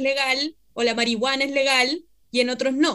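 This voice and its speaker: This voice is raised and projected. Its tone is bright and sharp. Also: woman. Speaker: radio host, historian. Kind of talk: radio interview.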